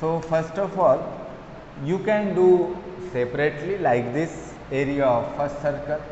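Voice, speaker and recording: A man speaks at a fairly slow pace in a fairly high pitch, with long, frequent pauses, audible room echo and light background noise. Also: ordinary pitch variation. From India. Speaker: maths teacher. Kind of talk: lecture. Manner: code-switching Hindi and English. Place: classroom. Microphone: camera far.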